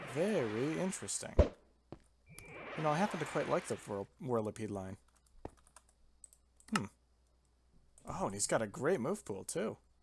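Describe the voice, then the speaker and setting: A man with very wide pitch swings at a moderate pace, over noticeable background noise. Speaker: gaming video creator. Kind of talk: let's play commentary. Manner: casual, conversational.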